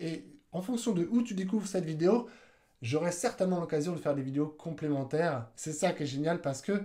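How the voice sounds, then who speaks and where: With a dark, mellow tone, a man speaks in a high voice with lively intonation. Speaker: YouTube marketing coach. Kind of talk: live video tutorial. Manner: fast; animated.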